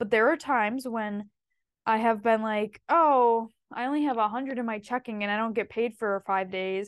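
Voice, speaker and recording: A woman's fairly high voice, an ordinary speaking voice, at a moderate pace with fairly even intonation over a quiet background. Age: 20s. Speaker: podcast co-host. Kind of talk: casual chat. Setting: home basement recording in person.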